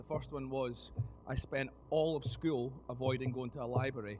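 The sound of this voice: A man talks at a fairly quick pace with medium pitch. His intonation stays fairly even.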